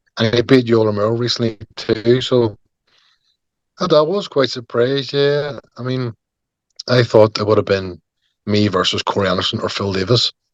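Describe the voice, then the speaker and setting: A man speaks with long, frequent pauses. The sound is dry and close, with no echo. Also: medium pitch for a man, ordinary pitch variation, moderate pace. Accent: strong Northern Irish. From Northern Ireland, Belfast. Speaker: MMA fighter. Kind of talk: interview.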